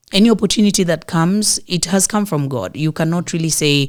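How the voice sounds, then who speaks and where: This woman has a fairly low pitch and ordinary pitch variation. She speaks at a moderate pace in a Kenyan coastal accent. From Kenyan coast, Mombasa. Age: 30s. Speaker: actress. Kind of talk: interview.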